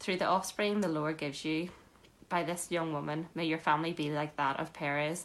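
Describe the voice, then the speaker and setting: The woman has an unremarkable speaking voice, fairly low in pitch, at a moderate pace. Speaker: scripture reader. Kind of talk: reading aloud. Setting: church.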